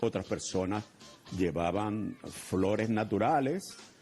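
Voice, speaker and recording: Music in the background behind a fairly slow-talking man. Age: 70s. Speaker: cultural heritage official. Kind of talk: interview.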